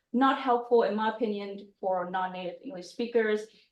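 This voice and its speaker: The woman speaks at a fairly high pitch with fairly even intonation. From Vietnam. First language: Vietnamese. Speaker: UX designer, speaker. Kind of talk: presentation talk. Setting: meetup room with audience, also online.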